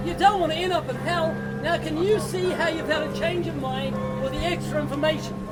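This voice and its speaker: Music plays behind speech that runs at a fairly quick pace. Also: man. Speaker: street preacher. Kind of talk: street evangelism, conversational preaching. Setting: outdoors, beach.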